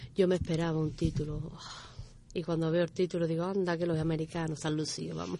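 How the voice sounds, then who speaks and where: A woman talks at a very fast pace in a fairly low, monotone, flat voice. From Dos Hermanas and Seville, Andalusia. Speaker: athlete and coach. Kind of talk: radio interview.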